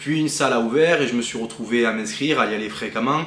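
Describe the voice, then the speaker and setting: Noticeable background noise runs through the clip. Through it, a man talks. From southwest France. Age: 20s. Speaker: bodybuilding athlete and coach. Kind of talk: personal vlog introduction. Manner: casual, with frequent hesitations.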